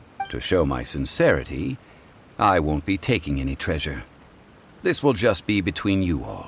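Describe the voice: A man uses a put-on character voice with a low pitch and vocal fry. His pitch swings widely at a moderate pace.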